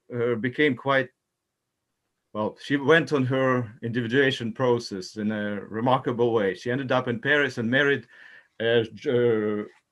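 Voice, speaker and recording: A man talks with a non-native accent at a moderate pace. His pitch is medium and his intonation fairly even. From Ukraine. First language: not English. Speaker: talk circle participant. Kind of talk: group discussion. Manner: halting.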